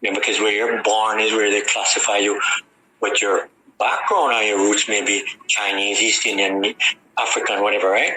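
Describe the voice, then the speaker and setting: Over noticeable background noise, a man speaks in a fairly low monotone with flat intonation and very even loudness. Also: moderate pace. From Jamaica, Harbour View, Kingston. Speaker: radio guest. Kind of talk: radio interview conversation.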